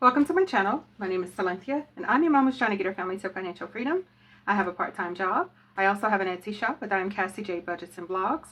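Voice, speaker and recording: A woman at a very fast pace, her intonation lively. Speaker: budgeting youtuber. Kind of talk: casual cash-stuffing tutorial. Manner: hesitant, many fillers.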